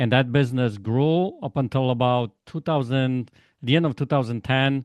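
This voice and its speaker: This man speaks with a Polish accent, a medium pitch and ordinary pitch variation. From Poland. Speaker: life coach. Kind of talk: interview. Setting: podcast.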